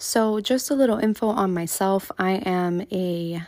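A dark, mellow tone from a woman with an American accent, in a very clean recording with a silent background. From US South, Miami, Florida. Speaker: podcast host and content creator. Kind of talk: casual monologue.

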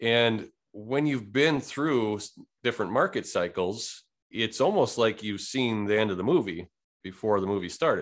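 Against a quiet background, a man speaks at medium pitch with ordinary pitch variation. His pace is moderate. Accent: Upper Midwest. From Wisconsin. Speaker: real estate investor and lender. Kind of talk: interview conversation.

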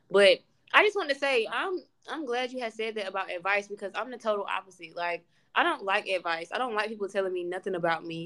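A woman's very fast, animated delivery, medium in pitch, bright and sharp in tone, with lively intonation. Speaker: podcast host. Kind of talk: casual chat.

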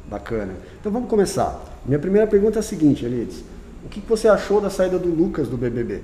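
Very fast delivery with very wide swings in pitch, no sex indicated. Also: man, high pitch for a man. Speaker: teacher and school podcast host. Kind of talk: casual interview.

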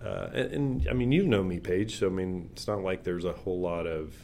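A dark, mellow voice moves at a fairly quick pace with ordinary pitch variation and audible room echo. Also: man. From small town. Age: 60s. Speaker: pastor and ministry worker. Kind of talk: interview conversation.

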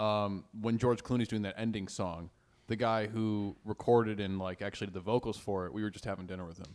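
In a very clean recording with a silent background, a man with an ordinary speaking voice and a fairly low pitch talks at a fairly quick pace, with fairly even intonation and big swings in loudness. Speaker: podcast co-host, comedian. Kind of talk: casual podcast chat.

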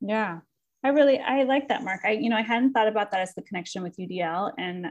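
Using vocal fry, a woman with an American accent talks at a fairly quick pace. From Southern California. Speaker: podcast host and educator. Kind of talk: casual book-club conversation.

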